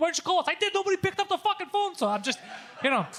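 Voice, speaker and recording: A man rushes through his words at a very fast pace while music plays in the background. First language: not English (English is third language). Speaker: comedian. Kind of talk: casual chat. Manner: animated.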